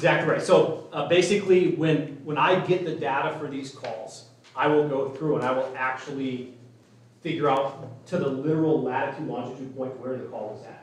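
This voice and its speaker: Noticeable background noise and audible room echo fill the recording. Through them, a man speaks at a fairly high pitch. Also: fairly even intonation, big swings in loudness. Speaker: EMS data consultant. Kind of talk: presentation at public meeting. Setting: city meeting, live streamed. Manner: fast.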